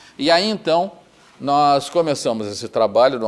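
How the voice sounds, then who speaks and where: Speaking with a southern Brazilian accent, a man has a fairly high pitch. His pitch swings very widely at a moderate pace. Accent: southern Brazilian (gaúcho) Portuguese. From Rio Grande do Sul, Brazil. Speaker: retired federal appellate judge. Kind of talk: oral history interview answer.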